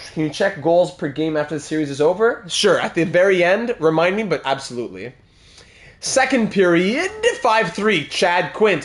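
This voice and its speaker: Against noticeable background noise, a man with a high pitch speaks at a moderate pace in an animated tone with lively intonation. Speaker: gaming streamer. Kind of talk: live gameplay commentary.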